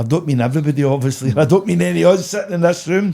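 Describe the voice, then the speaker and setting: With a west of Scotland accent, a man talks at a very fast pace in a fairly high, dark, mellow voice with lively intonation, captured in a very clean recording with a silent background. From Scotland, Motherwell area (Mossend), Lanarkshire. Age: 60s. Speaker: charity founder. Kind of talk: podcast interview.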